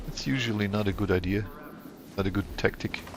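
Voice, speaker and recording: With music playing in the background, a man speaks in a fairly low, monotone, flat voice. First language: not English. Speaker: gaming streamer. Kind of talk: gameplay commentary. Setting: live stream. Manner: casual, halting with self-corrections.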